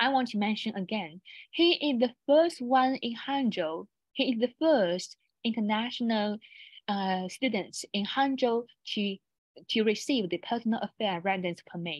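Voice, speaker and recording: A woman with a Chinese accent sounds somewhat breathy, her pitch fairly high and her intonation lively. She speaks at a moderate pace, the sound dry and close with no echo and a quiet background. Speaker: university international office presenter. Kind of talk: online seminar presentation. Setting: online webinar. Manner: halting, many restarts.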